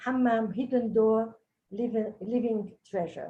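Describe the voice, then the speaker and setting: A woman with a French accent speaks at a moderate pace and a fairly high pitch. Her tone is dark and mellow, and her intonation fairly even. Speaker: cultural heritage expert. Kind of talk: webinar presentation. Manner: halting.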